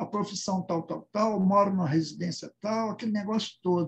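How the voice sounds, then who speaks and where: A man speaks in a high voice. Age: 70s. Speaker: participant in spiritist study discussion. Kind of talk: casual group discussion comment. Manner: halting, with many repetitions and fillers.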